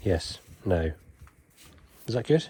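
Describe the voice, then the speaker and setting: A man speaks with a very deep, low pitch and a dark, mellow tone. His voice is somewhat breathy. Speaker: knot-tying instructor. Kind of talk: tutorial.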